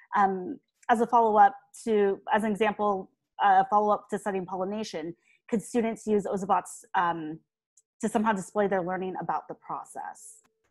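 A woman with an American accent speaks at a fairly quick pace over a quiet background. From United States. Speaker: edtech specialist and webinar host; webinar host. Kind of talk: webinar hosting. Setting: video call. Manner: enthusiastic. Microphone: video call.

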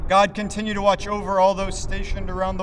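Noticeable background noise sits under the speech. The intonation is fairly even. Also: man. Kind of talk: prayer invocation. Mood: solemn, reverent. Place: street. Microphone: podium.

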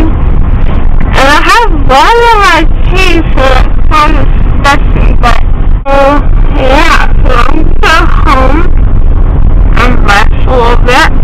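Speaking at a very slow pace, a woman leaves long, frequent pauses. Loud background noise runs behind her. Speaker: vlogger. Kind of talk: casual vlog chat. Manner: numb, slurred post-surgery speech. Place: car. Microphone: phone near.

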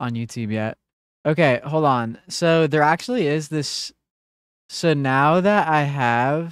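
At a very slow pace, the voice comes through as dry sound with no echo against a quiet background. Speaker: gaming streamer. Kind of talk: casual live stream chat. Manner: low-energy. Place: home room. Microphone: studio mic.

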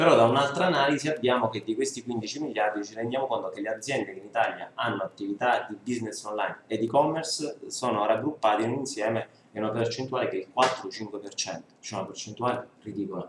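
A man talks at a fast pace in a fairly low pitch. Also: ordinary pitch variation.

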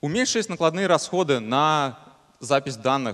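Man speaking at a moderate pace over a quiet background. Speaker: conference speaker. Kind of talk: technical conference talk. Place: hall. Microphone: headset.

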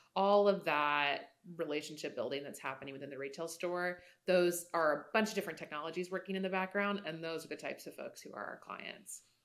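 Over a quiet background, a woman talks at a fairly quick pace and a fairly low pitch, with ordinary pitch variation and big swings in loudness. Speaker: remote podcast guest. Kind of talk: interview answer. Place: home room. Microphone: webcam.

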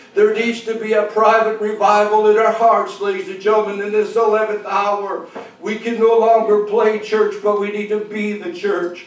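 A man with an American accent speaks at a moderate pace in a high pitch, his intonation flat and monotone, with audible room echo around him. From United States. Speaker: preacher. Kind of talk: sermon. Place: church.

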